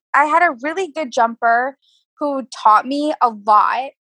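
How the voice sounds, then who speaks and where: A woman's voice sits high in pitch and carries a bright, sharp tone. She projects it in a raised voice at a fairly slow pace. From New York. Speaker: amateur show jumping rider. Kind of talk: interview.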